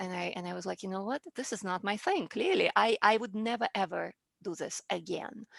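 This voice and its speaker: A woman's fairly quick speech with vocal fry, against a quiet background. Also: dry, close sound with no echo. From Russia (former Soviet Union). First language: Russian. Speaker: public speaking coach. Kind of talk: interview.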